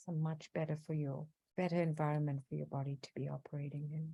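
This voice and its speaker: A woman's voice sits very deep and low in pitch. Its tone is dark and mellow, somewhat breathy. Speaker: physical therapist and wellness coach. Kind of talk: guided breathing exercise. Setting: video call. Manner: slow.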